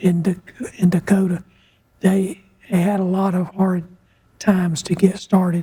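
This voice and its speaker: Fairly slow speech in a Southern US accent, broken by long, frequent pauses. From US South, North Carolina and coastal South Carolina. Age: 80s+. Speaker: retired air force colonel, redevelopment director. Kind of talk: interview. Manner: halting.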